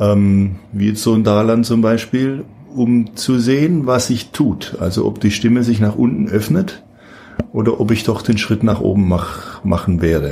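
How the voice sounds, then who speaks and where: A man talks at a fairly slow pace with ordinary pitch variation and very even loudness over noticeable background noise. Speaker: opera singer. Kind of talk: interview.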